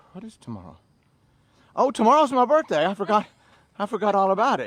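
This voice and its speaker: The speaker has a Southern US accent and big swings in loudness. Long pauses come often. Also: man. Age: 60s. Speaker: fitness instructor. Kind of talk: casual chat. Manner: animated.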